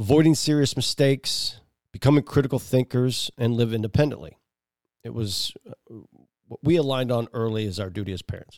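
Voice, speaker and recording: Speaking at a fairly quick pace, a man with an unremarkable speaking voice and a medium pitch shows ordinary pitch variation and big swings in loudness, in a dry, close sound with no echo. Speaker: podcast host and father. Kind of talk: scripted monologue; casual family chat.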